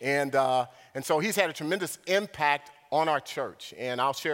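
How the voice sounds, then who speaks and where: This man has a plain, everyday voice with a fairly high pitch. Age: 50s. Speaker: visiting preacher. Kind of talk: sermon. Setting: church.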